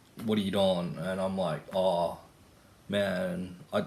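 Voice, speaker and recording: A man speaks very slowly in an Australian accent, his pitch very deep and low and his intonation flat and monotone. Audible echo fills the room around him. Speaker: vlogger. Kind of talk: casual monologue vlog. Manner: casual, filler-heavy.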